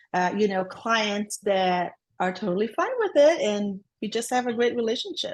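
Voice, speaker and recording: Against a quiet background, someone talks at a moderate pace. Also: woman. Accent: Brazilian. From Brazil. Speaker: transaction coordinator. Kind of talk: podcast interview.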